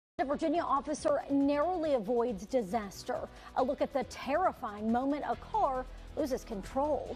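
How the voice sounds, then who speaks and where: With music in the background, a woman speaks at a moderate pace in a high voice, her intonation lively and her loudness very even. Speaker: television news anchor and reporter. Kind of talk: studio news anchor read.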